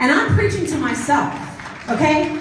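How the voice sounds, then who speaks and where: A woman talks in an animated tone. Noticeable background noise and audible room echo surround her. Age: 40s. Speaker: political campaign volunteer. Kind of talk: political speech. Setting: stage with audience.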